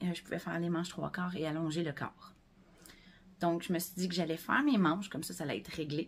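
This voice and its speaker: Very fast and with vocal fry, a woman in a Quebec accent talks at a fairly low pitch with fairly even intonation. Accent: Québécois French. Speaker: knitting podcaster. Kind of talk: casual chat. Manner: hesitant, many fillers.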